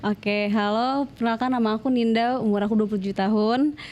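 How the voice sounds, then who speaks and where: A woman talks at a fairly high pitch. Her intonation stays fairly even. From West Java (Bandung, Sundanese). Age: 20s. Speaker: interview guest, domestic abuse survivor. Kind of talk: personal testimony interview. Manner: casual, hesitant with fillers.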